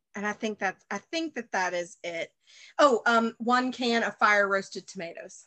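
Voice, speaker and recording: A woman with an Alabama accent talks at a moderate pace in a fairly high pitch, her bright, sharp tone carrying ordinary pitch variation over a quiet background with a dry, close sound and no echo. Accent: Southern American (Alabama). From US South, Birmingham, Alabama. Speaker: baker, actor and cooking show host. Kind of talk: casual chat.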